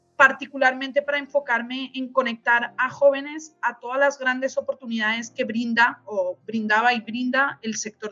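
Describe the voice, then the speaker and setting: Her intonation stays fairly even as this woman talks at a moderate speed. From Spain. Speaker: nonprofit executive. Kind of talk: podcast interview.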